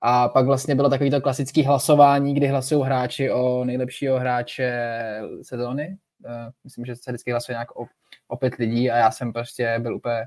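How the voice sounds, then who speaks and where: Speaking at a fairly quick pace, a man has a medium pitch and monotone, flat intonation. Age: 20s. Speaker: floorball player. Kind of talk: casual chat.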